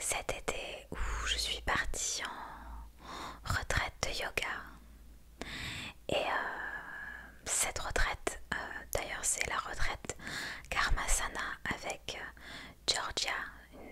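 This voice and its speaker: A woman whispering at a very slow pace, with long, frequent pauses, big swings in loudness, and noticeable background noise. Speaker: ASMR creator. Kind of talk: ASMR whispered story time. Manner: whispered, soft, relaxing.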